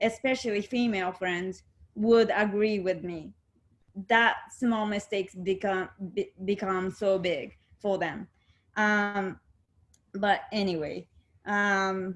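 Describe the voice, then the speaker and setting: Against a quiet background, someone with a Japanese accent talks at a very slow pace, with long, frequent pauses and fairly even intonation. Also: woman, medium pitch for a woman. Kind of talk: casual chat.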